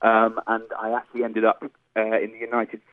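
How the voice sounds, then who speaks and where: A man speaks. He has an English accent. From England. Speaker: electronic musician. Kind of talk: radio interview.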